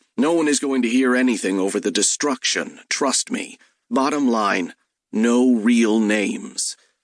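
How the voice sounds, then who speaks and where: A man puts on a gruff character voice at medium pitch, with ordinary pitch variation. He keeps a moderate pace and very even loudness. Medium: read story. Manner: gruff, dry.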